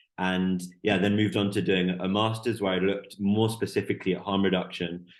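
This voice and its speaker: A man with an English accent, fairly low in pitch, at a fairly quick pace and in a monotone, flat intonation. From Canada, Vancouver. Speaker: PhD researcher in drug policy. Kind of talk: podcast interview.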